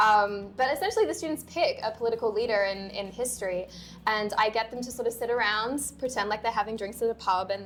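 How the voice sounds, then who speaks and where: A woman speaks in an Australian accent at a fairly quick pace. Her pitch is medium, with ordinary variation. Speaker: university lecturer. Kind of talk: casual panel discussion.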